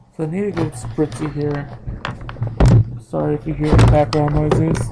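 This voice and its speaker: The speaker keeps a moderate pace. Behind the voice, music is playing. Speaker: gaming YouTuber. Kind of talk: voiceover gameplay commentary. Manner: casual, joking; occasional stuttering.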